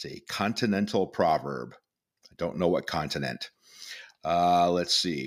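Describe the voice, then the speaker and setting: A man's very deep, low pitch with vocal fry, ordinary pitch variation, a fairly slow pace and long, frequent pauses. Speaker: podcast co-host and radio presenter. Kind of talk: casual profane chat.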